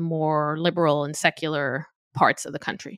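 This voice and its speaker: A woman with an Israeli accent speaks at a fairly slow pace and a fairly low pitch. The recording is very clean with a silent background, and the sound is dry and close with no echo. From Israel, Tel Aviv. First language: Hebrew. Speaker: podcast host. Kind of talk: casual chat.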